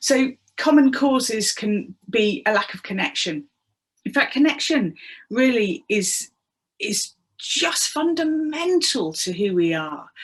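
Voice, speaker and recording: Very slow speech with very wide pitch swings. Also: woman, high pitch for a woman. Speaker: public speaker and trainer. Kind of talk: workplace wellbeing talk. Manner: humorous, engaging.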